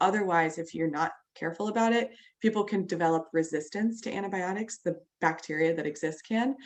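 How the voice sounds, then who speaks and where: Fairly quick speech from a woman with a fairly low pitch and ordinary pitch variation. The background is quiet. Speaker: clinical trainer. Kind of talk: online training lecture. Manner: fast.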